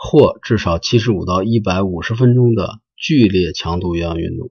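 The voice belongs to a man, fairly low in pitch and somewhat breathy. He keeps a moderate pace with ordinary pitch variation. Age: 40s. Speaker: podcast host. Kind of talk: solo podcast monologue. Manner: halting, with frequent filler sounds.

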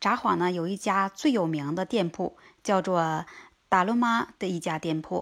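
In a very clean recording with a silent background, a woman speaks with a fairly low pitch and ordinary pitch variation. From China. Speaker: vlogger. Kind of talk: casual travel-food vlog talk. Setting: outdoors under cherry tree.

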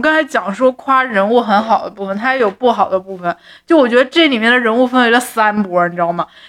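A woman with a normal speaking voice, at a fairly quick pace with hardly any pauses. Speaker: podcast co-host. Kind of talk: casual chat about a TV drama.

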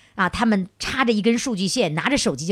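Over noticeable background noise, a woman with a medium-pitched voice talks at a fairly quick pace. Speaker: radio host. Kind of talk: live radio call-in show with audience. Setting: stage with audience.

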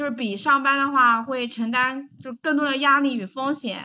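Her pitch is high for a woman. The woman's intonation stays fairly even. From Taizhou, Jiangsu, China. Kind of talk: casual chat.

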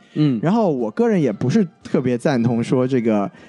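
A man speaks with lively intonation at a moderate tempo while music plays in the background. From southern China. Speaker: podcast co-host, film reviewer. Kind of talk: casual film review chat.

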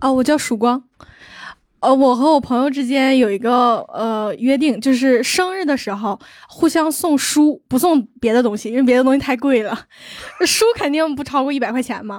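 Over a silent background in a very clean recording, a woman speaks at a high pitch and moderate pace with ordinary pitch variation. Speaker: audience member. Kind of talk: casual chat.

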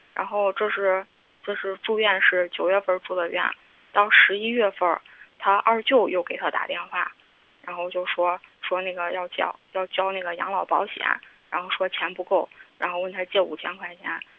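Speaking at a medium pitch and a moderate pace, a woman keeps a monotone, flat intonation. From Henan. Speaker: caller. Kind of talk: phone-in confession. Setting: phone call. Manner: halting.

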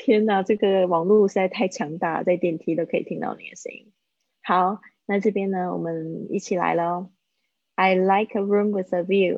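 A woman at medium pitch speaks at a moderate pace with fairly even intonation and big swings in loudness. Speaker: English teacher. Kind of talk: live online English lesson. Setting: live video stream.

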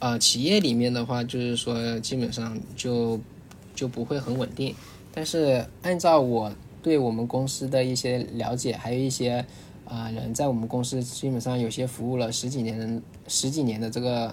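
A man talks with fairly even intonation in a space with audible room echo. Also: medium pitch for a man, moderate pace. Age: young. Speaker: training center manager. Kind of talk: casual chat.

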